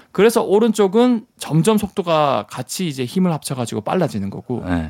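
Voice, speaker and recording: A man at a moderate pace, with very wide pitch swings, on a very clean recording with a silent background. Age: 30s. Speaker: science communicator. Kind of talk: casual radio chat explaining science.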